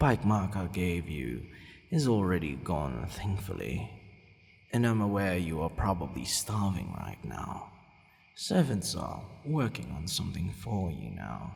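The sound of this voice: Putting on a character voice, a man speaks fairly slowly at a low pitch with vocal fry, a slightly mellow tone and very wide pitch swings.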